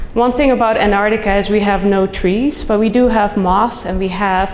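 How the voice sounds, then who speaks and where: With a Dutch accent, a woman speaks at a moderate pace in a medium pitch with ordinary pitch variation, amid noticeable background noise and audible room echo. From Netherlands. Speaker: soil scientist, professor. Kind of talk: conference talk.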